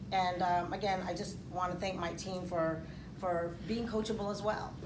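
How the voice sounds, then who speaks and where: Over noticeable background noise and audible room echo, a woman speaks at a moderate pace. Her medium-pitched voice has monotone, flat intonation. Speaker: financial services agent. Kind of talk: speech. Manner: loud; halting.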